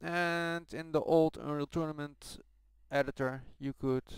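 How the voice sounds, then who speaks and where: A man with a Dutch accent speaks at a fairly high pitch. His fairly slow delivery has fairly even intonation. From Netherlands. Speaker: game modder. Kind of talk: tutorial. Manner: soft-spoken. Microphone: poor voice recording.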